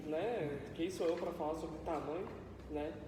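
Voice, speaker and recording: A man with a high pitch at a moderate pace, audible room echo and noticeable background noise around him. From Brazil, São Paulo area (Mogi das Cruzes). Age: 20s. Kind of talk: sermon. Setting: church. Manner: casual, conversational.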